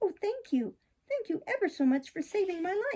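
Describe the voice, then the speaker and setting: A woman performs a put-on character voice, squeaky and extremely high in pitch. She keeps a moderate pace. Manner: grateful.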